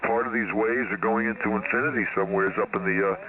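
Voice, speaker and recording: Noticeable background noise runs through the clip. The man's speech comes at a very fast pace. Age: 70s. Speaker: ham radio operator. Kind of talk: casual chat.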